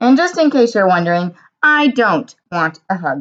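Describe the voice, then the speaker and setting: Someone puts on a character voice with very wide pitch swings at a moderate pace. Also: woman, fairly high pitch for a woman. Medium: read story. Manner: gruff.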